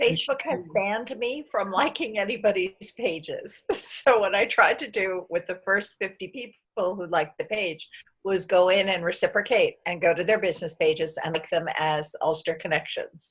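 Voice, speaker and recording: With an American accent, a woman uses an unremarkable speaking voice at medium pitch, ordinary pitch variation and a moderate pace, with hardly any pauses. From United States. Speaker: community member. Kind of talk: video call group chat.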